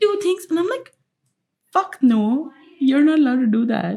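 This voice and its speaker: Speaking quietly, a woman keeps a moderate pace. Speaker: podcast co-host. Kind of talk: casual chat. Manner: quiet, low-energy.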